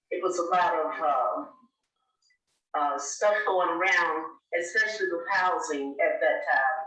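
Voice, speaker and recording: A woman speaks at a fairly slow pace with long, frequent pauses. Her pitch variation is ordinary, and there is audible room echo. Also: medium pitch for a woman. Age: 80s+. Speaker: local elder sharing recorded memories. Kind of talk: oral history interview. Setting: recorded interview. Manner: halting, many fillers.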